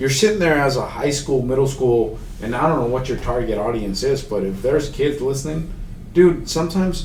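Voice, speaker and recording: A man with a fairly high pitch talks at a fairly quick pace, and his voice carries audible room echo amid noticeable background noise. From Mexico, raised in Houston, Texas. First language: Spanish. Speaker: accessibility consultant. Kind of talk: podcast interview. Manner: casual, halting.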